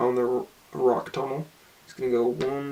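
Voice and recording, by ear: Natural-voiced reading aloud.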